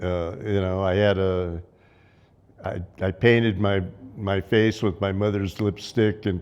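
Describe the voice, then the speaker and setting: Speaking at a fairly slow pace, a man has a fairly low voice and fairly even intonation. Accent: Southwest US. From southern Arizona. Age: 80s+. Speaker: local elder recalling childhood. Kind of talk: oral history interview. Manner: halting, many fillers and restarts.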